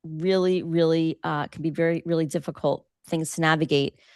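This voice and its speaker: An animated woman's voice, dry and close with no echo, against a quiet background. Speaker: breast cancer survivor and workshop host. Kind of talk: interactive online workshop discussion.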